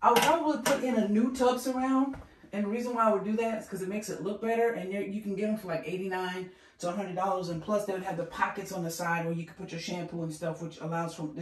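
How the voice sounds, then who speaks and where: Talking at a very fast pace with ordinary pitch variation, a woman is heard over light background noise with audible room echo. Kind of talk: house tour commentary. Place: bathroom.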